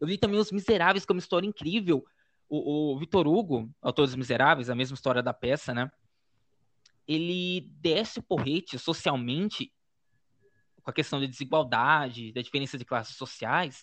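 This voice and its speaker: A man with a fairly high voice speaks at a moderate pace with lively intonation. He leaves long, frequent pauses. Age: 20s. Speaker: educator and blogger. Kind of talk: casual interview.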